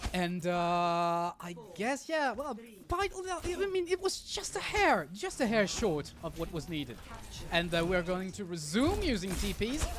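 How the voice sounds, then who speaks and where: With a French accent, a man talks in an animated tone at a fairly slow pace. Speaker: esports caster. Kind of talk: live commentary. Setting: livestream. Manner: halting.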